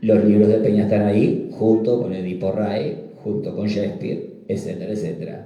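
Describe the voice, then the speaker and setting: With hardly any pauses, a man talks in a dark, mellow tone. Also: fairly low pitch for a man, ordinary pitch variation, moderate pace. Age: 60s. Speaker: psychiatrist presenting a book. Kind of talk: book presentation talk. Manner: halting, repetitive fillers.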